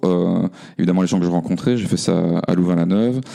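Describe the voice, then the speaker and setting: A man speaks at a very deep, low pitch with fairly even intonation and a fairly quick pace. There is noticeable background noise. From Belgium, Namur region. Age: 40s. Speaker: engineer and cooperative founder. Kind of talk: podcast interview. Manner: halting, many fillers.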